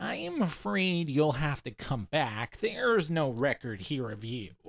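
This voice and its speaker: Doing a put-on character voice at a medium pitch, a man swings his pitch very widely at a fairly slow pace on a very clean recording with a silent background. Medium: read story. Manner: dry, sarcastic, bureaucratic.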